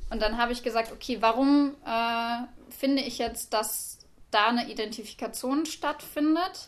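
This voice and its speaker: A woman with a high pitch speaks at a fairly slow pace with ordinary pitch variation over a quiet background. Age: 20s. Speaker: university student. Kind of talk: academic discussion.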